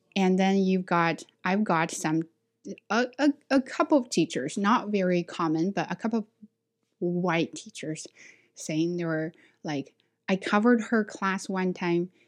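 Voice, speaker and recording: In a Chinese accent, a woman speaks at medium pitch and a fairly slow pace with ordinary pitch variation and long, frequent pauses, the sound dry and close with no echo against a quiet background. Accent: Chinese accent, working to reduce it. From China. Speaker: ESL teacher and podcaster. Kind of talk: casual chat.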